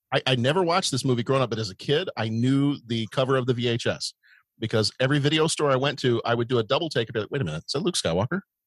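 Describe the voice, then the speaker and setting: Very fast, lively speech from a somewhat breathy man at medium pitch, the sound dry and close with no echo. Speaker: podcast co-host. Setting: video call.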